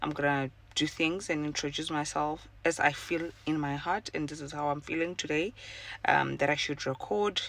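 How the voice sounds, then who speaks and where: A woman speaks at a moderate pace with fairly even intonation. Her pitch is very deep and low. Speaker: podcaster. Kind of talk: casual personal monologue. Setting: in a car. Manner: halting, many fillers.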